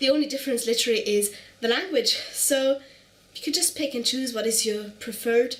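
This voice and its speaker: In a German accent, a woman speaks at a high pitch and a fairly quick pace over noticeable background noise. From Germany. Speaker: knitting podcaster. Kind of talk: casual show-and-tell vlog. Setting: at home on the couch. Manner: fast.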